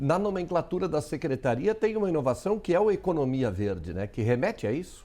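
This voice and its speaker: Speaking at a fairly quick pace, a man uses a fairly high pitch that swings very widely. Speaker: TV news host. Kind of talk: TV studio interview questions. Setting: studio.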